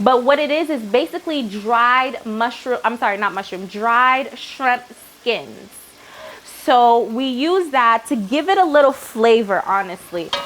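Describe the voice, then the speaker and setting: Over noticeable background noise, a woman speaks in a high pitch with lively intonation. Her pace is fairly slow. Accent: Haitian. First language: Haitian Creole. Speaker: cooking show host. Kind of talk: cooking tutorial. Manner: casual, chatty.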